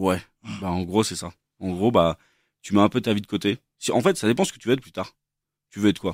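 A fairly low male voice at a fairly quick pace, with long, frequent pauses, big swings in loudness and ordinary pitch variation, in a dry, close sound with no echo and a very clean recording with a silent background. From France, Versailles. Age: 30s. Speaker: chef. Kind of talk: casual chat.

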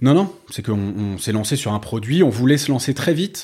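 A man talks at a fairly quick pace. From France, Paris. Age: 40s. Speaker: startup co-founder. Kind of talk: interview. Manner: halting, many fillers.

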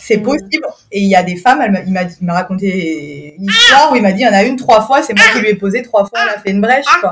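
A woman talks at a very fast pace. Her medium-pitched voice has lively intonation. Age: 30s. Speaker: mother sharing birth story. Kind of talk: testimony. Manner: hesitant, many fillers.

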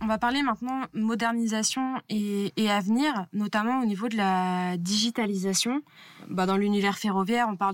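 A woman talks in an ordinary speaking voice at a medium pitch. Her pace is moderate and her intonation fairly even. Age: 20s. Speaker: railway communications officer interviewing a colleague. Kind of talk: casual interview.

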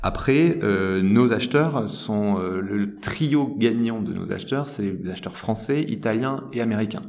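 At a fairly slow pace, a man speaks at a medium pitch with noticeable background noise and audible room echo. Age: 30s. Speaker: tech company director. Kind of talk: interview. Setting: office.

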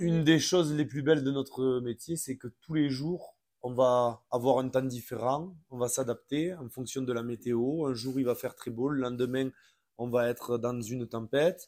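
A normal speaking voice from a man at medium pitch, fairly slow pace and fairly even intonation, in a very clean recording with a silent background. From France, from a city. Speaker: ski instructor. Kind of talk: casual interview.

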